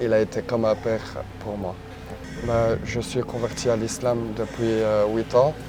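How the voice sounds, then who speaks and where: Spoken at a fairly slow pace in a monotone, flat intonation, the speech has long, frequent pauses over noticeable background noise. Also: man, medium pitch for a man. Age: 20s. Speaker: long-distance cyclist. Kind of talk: interview testimony. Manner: hesitant, many fillers.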